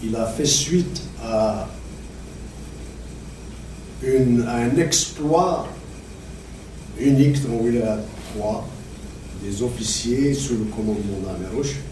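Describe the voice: With audible room echo around him, a man talks slowly at a medium pitch.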